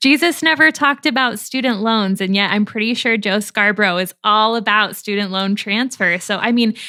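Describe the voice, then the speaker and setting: With an unremarkable speaking voice, a woman talks at a moderate pace and fairly high pitch, with ordinary pitch variation and hardly any pauses. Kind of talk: podcast co-host discussion.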